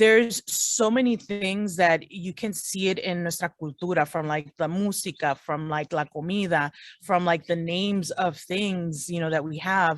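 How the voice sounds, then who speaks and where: With an unremarkable speaking voice and an American accent, a woman talks at a moderate pace and fairly low pitch with ordinary pitch variation and hardly any pauses, in a very clean recording with a silent background. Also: dry, close sound with no echo. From US, Salvadoran family. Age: 40s. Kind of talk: interview. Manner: casual, code-switching English and Spanish.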